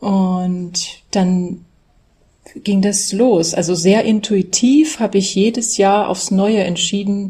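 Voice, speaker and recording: Somewhat breathy, a woman speaks very slowly at medium pitch with a dark, mellow tone. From Saxony, Germany (Dresden). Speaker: German language teacher. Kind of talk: interview.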